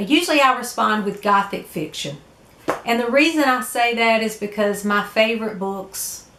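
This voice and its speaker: Amid audible room echo and noticeable background noise, a woman with a Southern US accent speaks at a moderate pace, her fairly high pitch carrying lively intonation. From US South. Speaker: book vlogger. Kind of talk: casual vlog talk. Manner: hesitant, many fillers.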